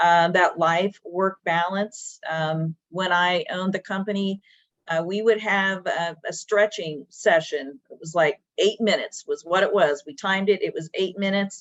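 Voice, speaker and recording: A woman talks in an unremarkable speaking voice with a medium pitch and fairly even intonation. Her pace is fairly slow with hardly any pauses, and her loudness swings widely. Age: 60s. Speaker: business owner. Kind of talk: webinar panel discussion. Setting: video webinar.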